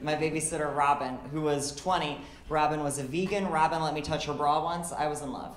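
Someone with an American accent speaks at a fairly quick pace, with audible room echo and light background noise. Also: woman. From Illinois, US Midwest. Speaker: stand-up comedian. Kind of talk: stand-up comedy set, confessional dating anecdotes with deadpan punchlines. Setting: comedy club stage with laughing audience. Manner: conversational storytelling, acting out quoted dialogue between herself and others; wry, self-deprecating, occasionally stumbling over words. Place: stage. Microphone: handheld.

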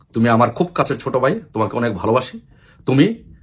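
A man speaks in a medium pitch. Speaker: political activist. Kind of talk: political appeal monologue. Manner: impassioned.

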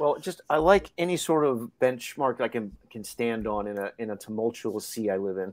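In an ordinary speaking voice, a man of medium pitch talks at a moderate pace with lively intonation and hardly any pauses, on a very clean recording with a silent background. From Hawaii and Florida. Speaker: comic book artist. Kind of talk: casual chat.

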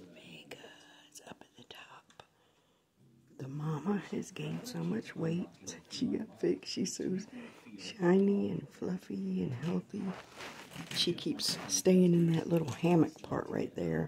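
Whispering broken by long, frequent pauses, with big swings in loudness over light background noise. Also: woman, fairly slow pace. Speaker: cat owner. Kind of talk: casual home video narration. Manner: whispered. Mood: affectionate, tender. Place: home room. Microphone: phone near.

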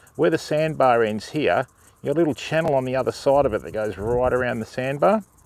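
A man with lively intonation in a dry sound with no echo. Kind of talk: casual live-stream explanation. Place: waterside. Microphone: phone near.

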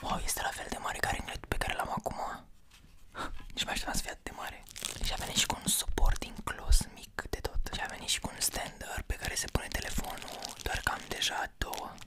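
A man whispering in a relaxed tone at a fairly quick pace. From Romania. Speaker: ASMR content creator. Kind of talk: casual talk to camera, unboxing. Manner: soft-spoken, relaxed. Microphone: studio mic.

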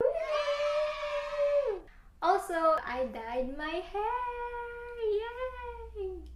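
Over noticeable background noise, a woman speaks at a very slow pace with long, frequent pauses. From Philippines. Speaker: lifestyle vlogger. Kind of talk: casual talk to camera. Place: home room. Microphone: camera far.

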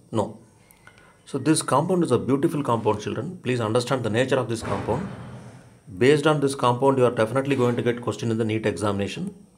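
A man of medium pitch speaks at a very fast pace with ordinary pitch variation. There is audible room echo. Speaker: chemistry teacher. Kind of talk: lecture. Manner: hesitant, frequent fillers.

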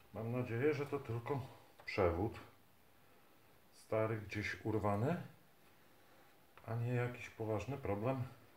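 There is audible room echo and light background noise as a man speaks at a very slow pace, somewhat breathy, with ordinary pitch variation. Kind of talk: casual repair commentary. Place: workshop. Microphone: phone near.

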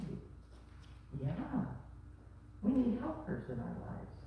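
The delivery is fairly slow, with strong echo from the room. Light noise sits in the background. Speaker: pastor leading children's message. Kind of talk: children's sermon and prayer. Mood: gentle, warm, simple words. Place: church.

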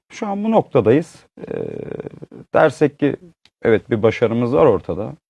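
A man's fairly high-pitched voice with vocal fry and a dark, mellow tone, very wide pitch swings, long and frequent pauses, a quiet background, and dry, close sound with no echo. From Uşak, western Turkey. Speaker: textile entrepreneur. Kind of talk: interview storytelling. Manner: hesitant, many fillers.

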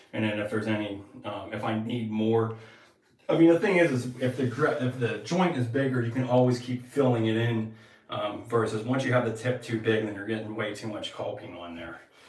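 With audible room echo, a man talks at a fairly quick pace, his pitch varying in an ordinary way. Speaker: tile contractor. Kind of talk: tutorial. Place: bathroom.

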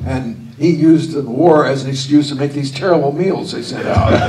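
Loud background noise surrounds a man speaking at a moderate pace with ordinary pitch variation. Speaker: interview guest. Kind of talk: interview answer. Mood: amused, warm, laughing. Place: stage. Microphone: handheld.

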